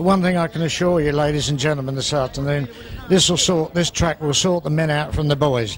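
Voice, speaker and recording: A fairly high-pitched man at a fairly quick pace, with fairly even intonation and noticeable background noise. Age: 70s. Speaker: retired sidecar racer. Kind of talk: casual interview.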